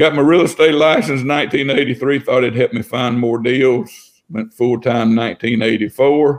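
Speaking at a fairly slow pace with hardly any pauses, a man uses an Alabama accent, medium pitch and ordinary pitch variation. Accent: Southern US (Alabama). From US South. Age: 60s. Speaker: house flipper. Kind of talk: casual chat.

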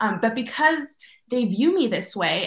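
This is a woman with an ordinary speaking voice. She talks at a fairly slow pace with lively intonation. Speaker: undergraduate student. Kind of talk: academic interview.

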